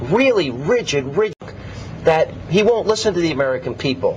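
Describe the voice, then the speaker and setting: Over music in the background, a man's voice moves through very wide pitch swings. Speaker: TV talk show host. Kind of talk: TV interview questions.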